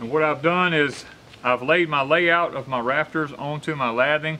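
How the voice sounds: Speaking at a moderate pace, a man has a fairly high pitch, ordinary pitch variation and a bright, sharp tone.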